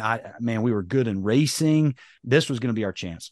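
The voice carries a slight Southern US accent over a quiet background. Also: man. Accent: slight Southern drawl. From North Carolina. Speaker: monster truck driver and motivational speaker. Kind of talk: casual interview.

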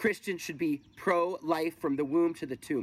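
The sound is dry and close with no echo as a man talks in a high voice. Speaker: pastor. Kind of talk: sermon. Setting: recorded video from home.

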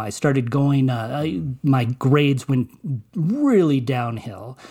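Somewhat breathy and dark, mellow in tone, a man with an American accent speaks at a very slow pace. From Colorado, US. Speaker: movie critic and journalist. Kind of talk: interview testimony. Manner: halting, many repetitions.

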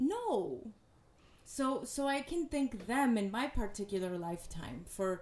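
A woman's voice with a dark, mellow tone. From US, Mexican-American family. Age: 30s. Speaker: yoga teacher and poet. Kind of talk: personal testimony in interview.

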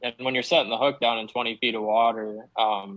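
Flat and monotone, a man's medium-pitched voice moves along at a moderate pace. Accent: American. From Wisconsin. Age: 20s. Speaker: professional bass angler. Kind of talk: interview.

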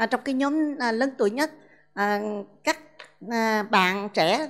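This woman's pitch is high. She speaks at a fairly slow pace. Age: 60s. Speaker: school principal. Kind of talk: testimony. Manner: halting.

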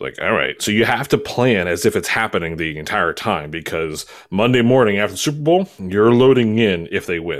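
Speaking in a plain, everyday voice with an American accent, a man goes at a fairly quick pace with lively intonation. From Baltimore, Maryland. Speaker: live sound engineer, podcaster. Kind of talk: casual chat. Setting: video call.

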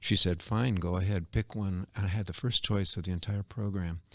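A man with an American accent has a plain, everyday voice and fairly even intonation at a moderate pace. The recording is very clean, the background silent. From Canton, Ohio. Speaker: retired art museum director and arts educator. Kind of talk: interview conversation. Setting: studio, in person.

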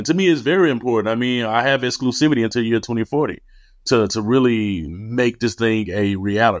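With a Memphis accent, this voice moves at a fairly quick pace with ordinary pitch variation against a quiet background. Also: man, medium pitch for a man. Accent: Southern US (Memphis). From US South, Memphis, Tennessee. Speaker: tech entrepreneur, company founder. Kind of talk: interview.

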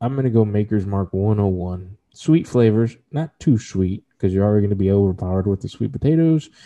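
A man with an American accent talks in an unremarkable speaking voice at a fairly low pitch. He moves at a fairly quick pace with lively intonation and hardly any pauses. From Texas. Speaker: whiskey podcast co-host. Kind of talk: casual chat.

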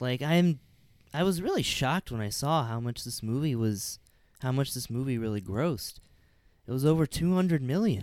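A man talks at a moderate pace in an ordinary speaking voice, pitched in the medium range. His intonation is lively. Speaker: podcast host. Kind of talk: casual chat.

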